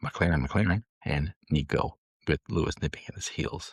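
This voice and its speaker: A man with an Upper Midwest accent speaks at a moderate pace with ordinary pitch variation. His voice is somewhat breathy, with a dry, close sound and no echo. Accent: Upper Midwest American. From Michigan, US. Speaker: podcast co-host. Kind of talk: casual chat. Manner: animated.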